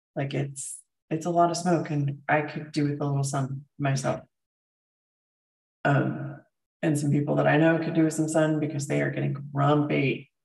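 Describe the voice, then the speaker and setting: A woman's very deep, low voice with vocal fry, monotone and flat in intonation, at a moderate pace broken by long, frequent pauses. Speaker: functional medicine doctor and health livestreamer. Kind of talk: casual livestream chat with viewers. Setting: live stream reading viewer comments. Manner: casual, many filler ums.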